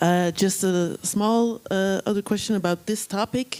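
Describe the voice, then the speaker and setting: A woman's medium-pitched voice at a fairly slow pace, with fairly even intonation, in a dry, close sound with no echo. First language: not English. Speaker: panel moderator. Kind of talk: panel discussion.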